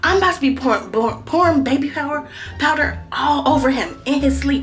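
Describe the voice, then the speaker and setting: Speech moves at a fairly quick pace amid noticeable background noise and audible room echo. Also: woman. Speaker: prank vlogger. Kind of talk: casual vlog to camera. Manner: animated.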